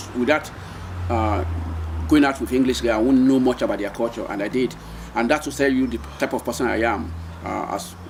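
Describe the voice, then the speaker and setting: A man with a Nigerian accent at a moderate pace, over noticeable background noise. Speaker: retired seafarer, marine engineer. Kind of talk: oral history interview answer.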